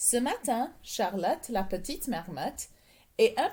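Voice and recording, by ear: Reading aloud in a natural voice is what this recording holds.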